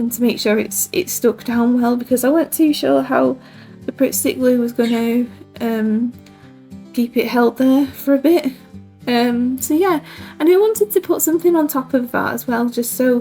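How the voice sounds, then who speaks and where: Music in the background, a British accent, moderate pacing and ordinary pitch variation. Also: woman. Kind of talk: casual crafting voiceover.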